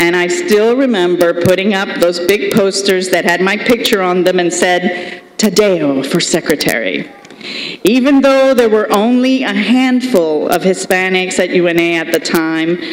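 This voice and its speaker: A woman speaks at a fairly slow pace with a medium pitch. Her pitch varies in an ordinary way, and there is noticeable background noise. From Colombia. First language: Spanish. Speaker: state senator, commencement speaker. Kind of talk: commencement speech.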